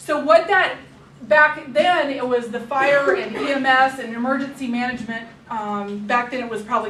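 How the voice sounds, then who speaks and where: Over noticeable background noise and audible room echo, a woman with a high pitch speaks at a moderate pace, with ordinary pitch variation and big swings in loudness. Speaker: public health emergency preparedness trainer. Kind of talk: staff training presentation.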